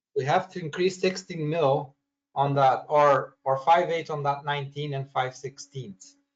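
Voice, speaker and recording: Somewhat breathy, a man speaks at a fairly slow pace and a fairly high pitch. His intonation stays fairly even. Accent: non-native. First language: not English. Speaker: cabinet maker learning design software. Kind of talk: screen-share software training call. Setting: recorded video conference. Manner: halting, many repeats and restarts.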